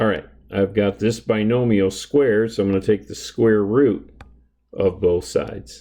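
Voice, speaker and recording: Fairly low in pitch, a man's voice carries a dark, mellow tone, very even loudness and fairly even intonation. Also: moderate pace. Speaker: math instructor. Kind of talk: lecture. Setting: recording at home. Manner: soft-spoken, keeping voice down.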